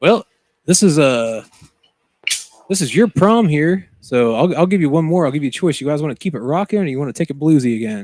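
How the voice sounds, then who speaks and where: This is an unremarkable speaking voice with lively intonation at a fairly quick pace. The sound is dry and close, with no echo. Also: man, fairly high pitch for a man. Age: 30s. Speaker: musician. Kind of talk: casual chat. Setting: studio.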